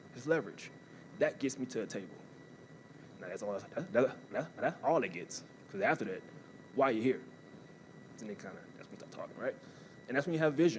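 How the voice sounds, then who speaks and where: With an American accent, a man at medium pitch talks at a very fast pace, with very wide pitch swings, big swings in loudness and long, frequent pauses. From US South, New Orleans, Louisiana. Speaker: college athletics staff, former athlete and army veteran. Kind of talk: motivational talk. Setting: stage with audience.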